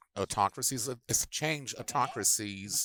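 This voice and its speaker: At a moderate pace, a man with a fairly low voice speaks in a bright, sharp tone, the sound dry and close with no echo. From Latin America. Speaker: panelist, international relations expert. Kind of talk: panel presentation. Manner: halting, many false starts.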